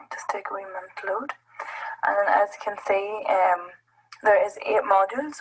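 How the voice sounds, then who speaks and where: A woman with a medium-pitched voice speaks in a Northern Irish accent at a moderate pace. Her loudness swings widely, and she leaves long, frequent pauses. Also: ordinary pitch variation. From Northern Ireland. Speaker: app presenter at education summit. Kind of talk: tutorial. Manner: hesitant, many fillers.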